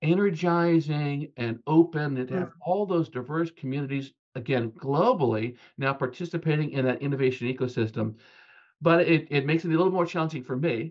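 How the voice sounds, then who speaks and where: Against a quiet background, a man with an American accent speaks at a moderate pace, his fairly high pitch showing ordinary pitch variation. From US West Coast, California (Bay Area); California. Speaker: technology research architect; guest. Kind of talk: interview conversation. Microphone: webcam.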